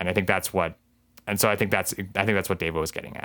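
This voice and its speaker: A man with a Canadian accent speaks at a fairly low pitch. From Canada. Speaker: university alumnus and filmmaker. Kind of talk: casual interview. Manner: halting.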